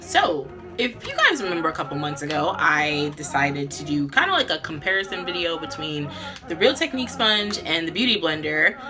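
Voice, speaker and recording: Background music accompanies the clip. Over it, a woman's intonation is lively. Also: fairly low pitch for a woman, fairly quick pace. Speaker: beauty vlogger. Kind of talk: casual talk to camera, makeup tutorial.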